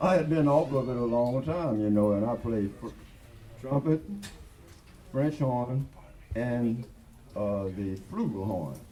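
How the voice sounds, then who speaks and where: A man at medium pitch talks at a fairly slow pace with lively intonation and long, frequent pauses. Room echo is audible. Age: 80s+. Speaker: jazz musician performing live. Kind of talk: onstage talk between songs. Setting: live performance at a record store with audience. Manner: halting, with fillers.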